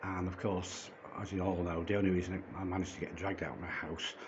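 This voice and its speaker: A man with a British accent and a very deep, low voice is heard with audible room echo and noticeable background noise. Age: 60s. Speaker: vlogger. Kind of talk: personal testimony vlog. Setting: holding a phone. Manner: halting with stammered repetitions; agitated.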